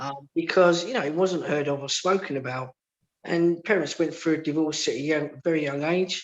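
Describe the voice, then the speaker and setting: With a Cockney accent, a man speaks at a moderate pace, his fairly high pitch held in fairly even intonation. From London, England. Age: 50s. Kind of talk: radio interview, personal testimony. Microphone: line dropping, sound quality went funny.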